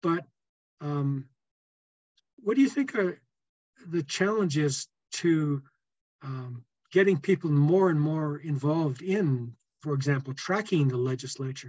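Speaking with an American accent at a fairly slow pace with long, frequent pauses, a man has a fairly high-pitched, somewhat breathy voice with ordinary pitch variation. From US Midwest (Indiana). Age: 70s. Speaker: podcast host, political activist. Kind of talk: interview. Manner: halting, many fillers.

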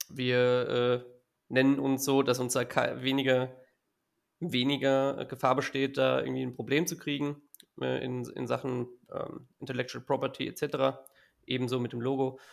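This man talks at a fairly slow pace in a flat monotone, at a medium pitch. He leaves long, frequent pauses. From Hesse, Germany (Gießen area). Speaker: football fan club board member. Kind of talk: casual chat.

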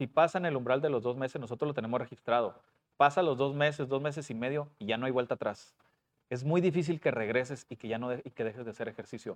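Speech from a man comes at a very fast pace, pitched at medium. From Puebla and Coahuila, Mexico. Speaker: school principal and personal trainer. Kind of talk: casual interview.

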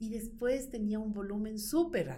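Through audible room echo, a woman speaks at a fairly slow pace in a somewhat breathy voice, her tone dark and mellow and her pitch fairly high. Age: 50s. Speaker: insurance broker and business owner. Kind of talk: interview.

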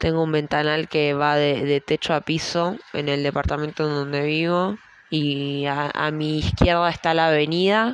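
With a Rioplatense accent, a woman speaks in a very deep, low pitch. Her pace is fairly slow and her intonation fairly even. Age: 20s. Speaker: podcaster. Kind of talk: personal monologue. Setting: at home at night.

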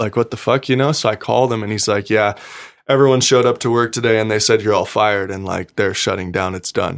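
A man with an American accent speaks very fast in a fairly low voice with fairly even intonation, on a very clean recording with a silent background. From Nevada, US (Gardnerville). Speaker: professional off-road motorcycle racer. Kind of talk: casual chat.

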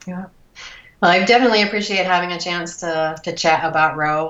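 A woman with a fairly low pitch speaks in a Midwestern American accent. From US Midwest, Cleveland suburbs, Ohio. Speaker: breast cancer survivor and rower. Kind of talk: interview. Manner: halting with many fillers.

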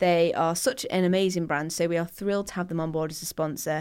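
Someone with a Mancunian accent speaks at a fairly quick pace on a very clean recording with a silent background. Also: woman. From Manchester, England. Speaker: skincare podcast co-host. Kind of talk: casual chat; sponsor read. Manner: animated.

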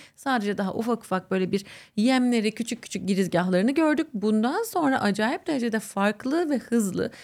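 Here a woman speaks at a fairly quick pace and a fairly high pitch. Her intonation is lively, and she has an ordinary speaking voice. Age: 30s. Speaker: astrologer. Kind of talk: interview.

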